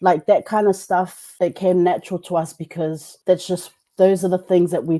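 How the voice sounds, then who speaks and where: A woman's fairly low, dark, mellow voice in a New Zealand accent, with monotone, flat intonation at a moderate pace. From New Zealand, Samoan community. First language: Samoan. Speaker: teacher and podcaster. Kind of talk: interview. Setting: video call. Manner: casual, conversational with fillers.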